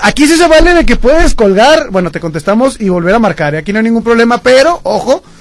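Speaking at a fairly quick pace, a man uses an extremely high pitch with very wide pitch swings. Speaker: radio host. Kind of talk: radio show chat.

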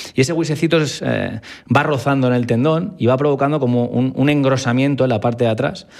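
A man speaks at a fairly quick pace with an ordinary speaking voice. His pitch sits in the middle range and his loudness stays very even. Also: ordinary pitch variation. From Spain, Valencia. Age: 30s. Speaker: foot and ankle surgeon. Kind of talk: interview.

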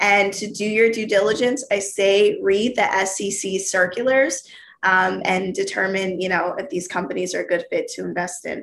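In an American accent, a woman speaks at a moderate pace with a normal speaking voice and hardly any pauses. Her pitch is medium, with ordinary pitch variation. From US South, Georgia. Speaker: former floor trader and podcast host. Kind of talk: casual interview. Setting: video call.

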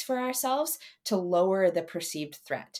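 A moderate pace with very wide pitch swings. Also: woman. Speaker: podcast host. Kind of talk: casual Q&A interview.

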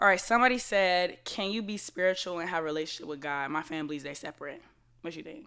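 On a very clean recording with a silent background, a woman talks very fast in a bright, sharp tone, with ordinary pitch variation and big swings in loudness. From Florida. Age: 20s. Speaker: podcast host. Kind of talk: casual chat.

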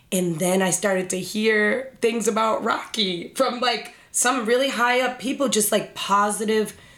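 This is a normal speaking voice from a woman, medium in pitch with ordinary pitch variation. She talks at a fairly slow pace. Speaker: cannabis industry professional. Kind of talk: casual podcast chat.

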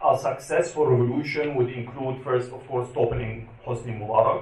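A man speaks at a medium pitch with ordinary pitch variation. Noticeable background noise runs underneath. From Egypt. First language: Arabic. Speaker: activist and journalist. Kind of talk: panel talk. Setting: stage with audience.

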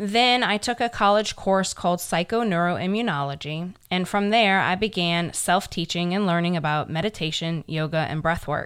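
Over a very clean recording with a silent background, a woman with a normal speaking voice talks at a moderate pace with hardly any pauses, a fairly low pitch and ordinary pitch variation. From New Orleans, US South. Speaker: podcast co-host. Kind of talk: casual self-introduction.

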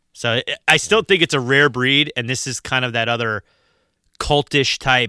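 A man's medium-pitched voice, bright and sharp in tone, at a moderate pace with ordinary pitch variation, dry and close with no echo, on a very clean recording with a silent background. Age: 40s. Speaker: horror movie podcast host. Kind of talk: casual chat.

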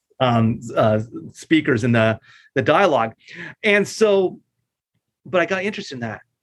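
A man with an American accent, fairly high in pitch, with very wide pitch swings, a moderate pace and long, frequent pauses. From southern California, La Mirada. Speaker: attorney and judicial candidate. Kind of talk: interview.

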